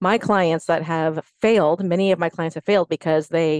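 A woman with an unremarkable speaking voice talks at a fairly quick pace and a fairly low pitch, with fairly even intonation. The sound is dry and close with no echo, over a quiet background. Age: 50s. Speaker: fitness instructor and personal trainer. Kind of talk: casual chat.

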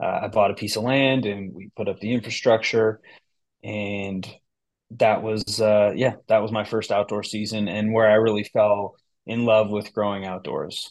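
Someone with an American accent speaks at a fairly slow pace in a monotone, flat intonation against a quiet background. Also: man. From US West Coast, San Francisco Bay Area. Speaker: cannabis business founder and CEO. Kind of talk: interview conversation.

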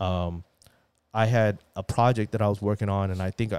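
A man with an ordinary speaking voice talks at a fairly low pitch with fairly even intonation. The sound is dry and close with no echo, on a very clean recording with a silent background. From US, moved from Taiwan at about five or six. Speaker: finance and sports card collector. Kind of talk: casual chat.

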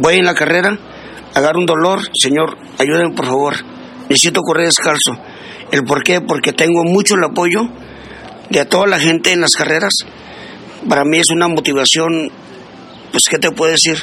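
A man with a northern Mexican accent and a high pitch, at a moderate pace, with long, frequent pauses, very even loudness and noticeable background noise. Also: ordinary pitch variation. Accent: Juárez border Spanish. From northern Mexico border, Ciudad Juárez. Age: 60s. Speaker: amateur barefoot runner. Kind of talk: interview.

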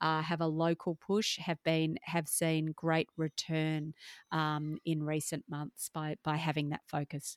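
A woman with an Australian accent speaks at a very deep, low pitch and a fairly slow pace, her intonation flat and monotone. The recording is very clean, with a silent background and a dry, close sound free of echo. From Perth, Australia. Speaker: marketing business owner and speaker. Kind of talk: interview.

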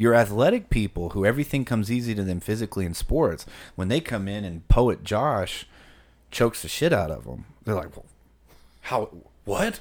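A man's fairly low voice at a moderate pace, an ordinary speaking voice. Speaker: podcast co-host. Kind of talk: casual chat.

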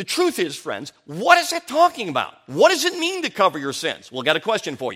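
A man's raised, projected voice with an American accent, high pitch, very wide pitch swings and big swings in loudness, at a fairly quick pace with hardly any pauses. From US Midwest (Chicago, early years Colorado). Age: 50s. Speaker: preacher. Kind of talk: sermon. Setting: church conference with audience.

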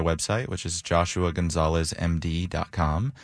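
A man with a very deep, low pitch. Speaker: panel expert. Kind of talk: panel discussion.

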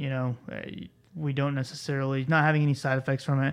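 Against a quiet background, a man with a medium pitch talks very fast in a monotone, flat intonation. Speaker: pharmacist podcast host. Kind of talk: casual interview and clinical case discussion. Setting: studio.

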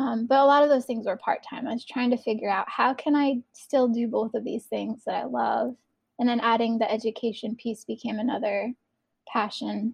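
At a moderate pace, a woman talks with a fairly high pitch and fairly even intonation. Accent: American. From northeastern US. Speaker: educator and artist. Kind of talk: casual interview chat. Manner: hesitant, with frequent fillers.

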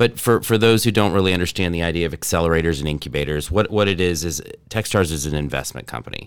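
A man with an American accent talks at a very fast pace with hardly any pauses, his very deep, low voice showing vocal fry and ordinary pitch variation on a very clean recording with a silent background. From North Texas. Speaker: entrepreneur, startup accelerator director. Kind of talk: podcast interview.

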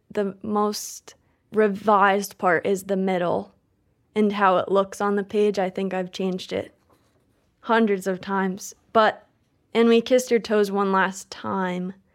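A woman at a medium pitch, monotone and flat in intonation, at a fairly slow pace, in a very clean recording with a silent background. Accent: slight Midwestern. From Maine. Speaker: poet. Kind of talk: interview; poetry reading.

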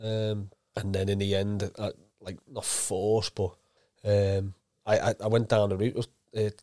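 Delivered in a Liverpool accent with monotone, flat intonation, the speech has a dry, close sound with no echo and a very clean recording with a silent background. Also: man. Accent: Scouse. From Liverpool, England. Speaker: former professional footballer. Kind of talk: casual interview.

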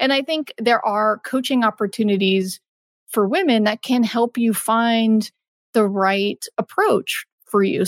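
A woman with an American accent and a plain, everyday voice speaks at a fairly slow pace and a fairly high pitch, with ordinary pitch variation. The sound is dry and close, with no echo. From Texas. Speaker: marketing lead in gaming. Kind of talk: interview.

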